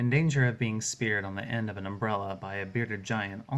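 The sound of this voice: A reading voice, unforced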